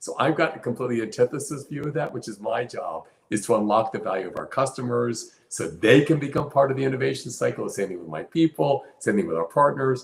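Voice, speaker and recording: Talking very fast with hardly any pauses, a man uses lively intonation and big swings in loudness. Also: medium pitch for a man. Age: 70s. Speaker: company CEO. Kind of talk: interview. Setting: live stream.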